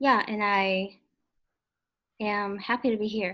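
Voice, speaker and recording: Speaking at a very slow pace, a woman with a Chinese accent uses a medium pitch on a very clean recording with a silent background. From China. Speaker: real estate broker, pageant contestant. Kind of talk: self-introduction practice. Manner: halting, many fillers.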